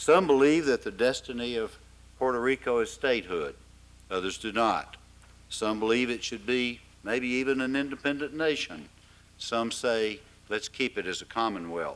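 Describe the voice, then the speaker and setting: With an Arkansas accent, a man speaks at a moderate pace, his medium pitch showing ordinary variation. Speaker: forum host. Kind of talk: formal event introduction. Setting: forum with live audience.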